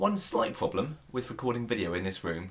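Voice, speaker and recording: A man with a British accent, medium pitch and a very fast pace. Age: 20s. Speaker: YouTube vlogger. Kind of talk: casual vlog. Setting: indoors at home.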